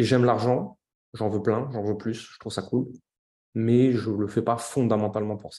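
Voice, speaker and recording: Pausing long and often, a man speaks at a moderate pace and medium pitch, his tone dark and mellow, his intonation monotone and flat, and his loudness swinging widely. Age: 30s. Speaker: entrepreneur. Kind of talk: casual chat.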